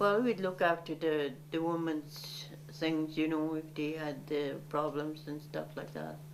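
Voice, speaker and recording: Speaking at a fairly slow pace with hardly any pauses, a woman with a very deep, low pitch is heard over noticeable background noise. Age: 80s+. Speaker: Métis elder and community worker. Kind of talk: interview answer. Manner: reflective, conversational.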